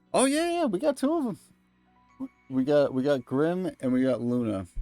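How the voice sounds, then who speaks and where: A man keeps a moderate pace as music sounds in the background. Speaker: video game streamer. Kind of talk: casual chat. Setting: live stream. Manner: animated.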